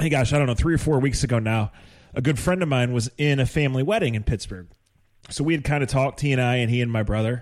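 The recording is very clean, with a silent background. A man talks at a very fast pace, his medium-pitched voice showing ordinary pitch variation. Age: 50s. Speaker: sports podcast host. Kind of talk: casual chat.

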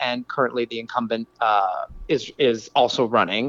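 A man at a medium pitch and moderate pace uses a normal speaking voice, recorded dry and close with no echo. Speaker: city council candidate. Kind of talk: interview.

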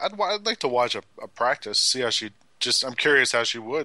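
A man's medium-pitched voice with a bright, sharp tone. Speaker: sports podcast co-host. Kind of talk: casual sports chat.

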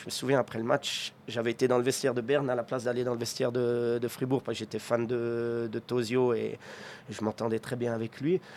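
A man's medium-pitched, monotone voice with flat intonation at a fairly quick pace. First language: Swiss German (speaking French). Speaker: ice hockey coach. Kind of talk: interview. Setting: arena box.

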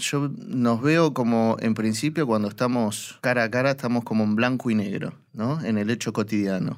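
A man speaks in a normal speaking voice at medium pitch and a moderate pace, with ordinary pitch variation and very even loudness. The recording is very clean with a silent background. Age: 40s. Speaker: monster expert. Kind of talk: interview.

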